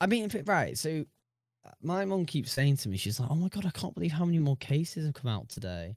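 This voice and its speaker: Very fast and somewhat breathy, a man's fairly high voice makes very wide pitch swings in a very clean recording with a silent background and a dry, close sound with no echo. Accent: British. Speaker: podcast co-host. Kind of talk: casual chat. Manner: talkative, jokey, laughs often.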